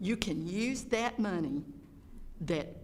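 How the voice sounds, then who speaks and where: In a Georgia accent, a woman speaks at a fairly slow pace with lively intonation. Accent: Georgia Southern US. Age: 70s. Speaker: public commenter. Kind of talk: public comment at board meeting. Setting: school board meeting. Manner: unscripted, off the cuff.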